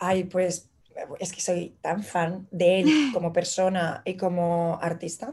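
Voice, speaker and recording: Speaking at a very slow pace with a Madrid accent, a woman has a fairly low pitch, a somewhat breathy quality and a dark, mellow tone. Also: ordinary pitch variation. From Madrid, Spain. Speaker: illustrator. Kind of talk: casual interview chat. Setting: remote connection from New York.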